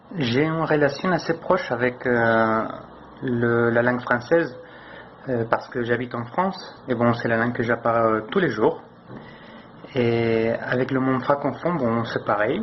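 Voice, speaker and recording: At a medium pitch, a man talks fairly slowly with long, frequent pauses and ordinary pitch variation. Noticeable background noise runs underneath. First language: not French (speaking French). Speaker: French learner. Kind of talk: interview answer. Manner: halting.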